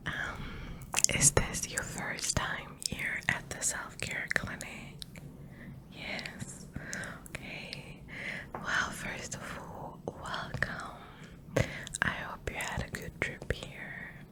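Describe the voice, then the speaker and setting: A woman's whispering in a gentle tone, very slow and full of long, frequent pauses, with big swings in loudness over noticeable background noise. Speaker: ASMR artist. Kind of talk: ASMR roleplay, personal attention. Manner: soft-spoken, whispering, gentle.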